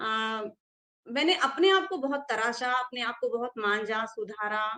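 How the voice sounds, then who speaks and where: A woman's high-pitched voice with a Tamil accent, a bright, sharp tone and ordinary pitch variation. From South India (Karnataka). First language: Tamil (speaking Hindi). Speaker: Hindi scholar and teacher. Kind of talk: interview, personal account. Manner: hesitant, with fillers.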